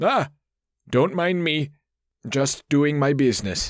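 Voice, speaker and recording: A man puts on a squeaky character voice with a fairly high pitch. He speaks at a fairly slow pace on a very clean recording with a silent background. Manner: nervous, casual.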